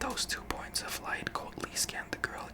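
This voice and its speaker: A man whispers over noticeable background noise. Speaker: ASMR creator. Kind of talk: ASMR story reading. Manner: whispered.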